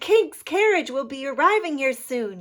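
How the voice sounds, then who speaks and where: A woman performs a put-on character voice at a high pitch. Her pitch swings very widely at a moderate pace. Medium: read story. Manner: crafty.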